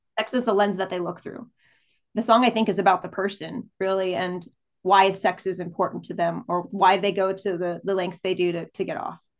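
In an American accent, a woman with a normal speaking voice talks at medium pitch with fairly even intonation. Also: fairly quick pace. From El Paso, Texas. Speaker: singer-songwriter. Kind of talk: casual interview conversation.

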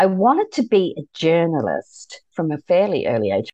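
Delivery is fairly slow. The voice belongs to a woman. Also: dry, close sound with no echo. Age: 60s. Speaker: journey practitioner and results coach. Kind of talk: casual interview chat. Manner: animated, bubbly.

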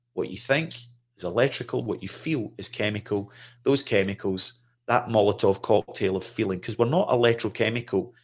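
A man with a Scottish accent speaks at a fairly quick pace, his pitch fairly low with ordinary variation. The recording is very clean, with a silent background. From Scotland. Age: 50s. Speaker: trauma counselor. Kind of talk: casual conversation. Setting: studio.

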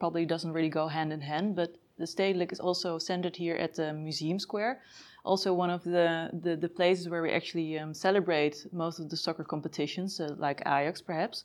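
A woman speaks in a Dutch accent with a fairly low pitch and monotone, flat intonation. Her pace is fairly quick, with hardly any pauses. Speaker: podcast host. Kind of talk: interview; scripted introduction. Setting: museum.

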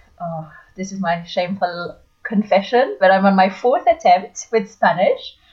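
A woman talks at a medium pitch. There is some breathiness in her voice. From France (Paris area). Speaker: language teacher. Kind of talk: interview.

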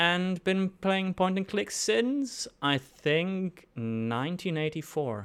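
With a German accent, a man speaks in a bright, sharp tone and lively intonation on a very clean recording with a silent background. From Germany. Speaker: indie game developer. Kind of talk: podcast interview.

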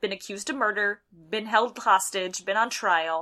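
On a very clean recording with a silent background, a woman with a Midwestern American accent speaks at a fairly quick pace in a bright, sharp tone, her medium pitch showing ordinary variation. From US Midwest. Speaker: podcast co-host. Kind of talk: casual chat. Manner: animated.

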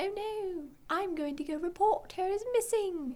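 A put-on character voice, squeaky and extremely high in pitch, at a moderate pace. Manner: panicked, urgent.

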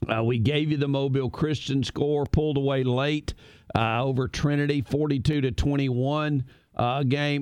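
A man speaks at a fairly slow pace with a fairly high pitch. He has a normal speaking voice. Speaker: radio sports host. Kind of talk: live sports radio show banter. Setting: studio radio broadcast.

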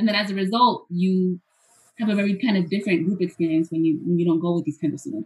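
Somewhat breathy, the voice races along at a very fast pace with ordinary pitch variation. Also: woman, medium pitch for a woman. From Hoboken, New Jersey, US; Puerto Rican family. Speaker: professor. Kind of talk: interview, presenting with slides.

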